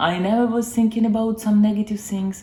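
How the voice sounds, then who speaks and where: Over noticeable background noise, a woman speaks at a moderate pace with a Ukrainian accent. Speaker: interviewee, former refugee. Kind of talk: interview. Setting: friend's home. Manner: halting.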